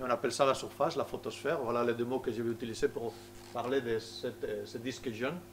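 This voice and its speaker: Fairly quick speech from a medium-pitched man, ordinary pitch variation, with music in the background. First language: Spanish (speaking French). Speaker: solar physicist. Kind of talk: public lecture. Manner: halting, many hesitations.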